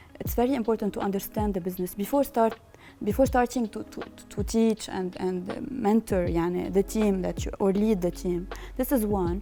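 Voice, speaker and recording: A woman talks with a Lebanese accent. Her pitch is medium, with ordinary pitch variation. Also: moderate pace. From Lebanon. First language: Lebanese Arabic. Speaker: business founder and managing partner. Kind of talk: interview answer. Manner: code-switching between English and Arabic.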